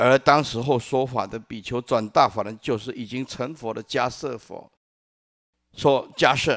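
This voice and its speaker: A man speaks over a quiet background. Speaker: Buddhist monk teaching; Buddhist monk teacher. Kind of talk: Dharma lecture. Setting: lecture hall with audience. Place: hall. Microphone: podium.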